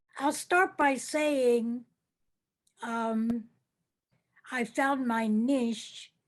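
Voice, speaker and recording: A woman talks at a very slow pace with a high pitch. Her pitch varies in an ordinary way. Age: 80s+. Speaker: public relations entrepreneur. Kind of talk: interview. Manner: halting, many fillers.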